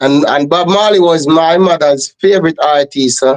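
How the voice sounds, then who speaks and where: A man speaks at a high pitch with fairly even intonation. The sound is dry and close, with no echo. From Jamaica, Trelawny. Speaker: reggae singer. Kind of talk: interview.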